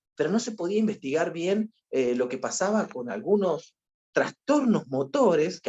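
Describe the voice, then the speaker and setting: This man's voice sits high in pitch and swings very widely up and down. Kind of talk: lecture. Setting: video call webinar, alone at home. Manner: fast; animated.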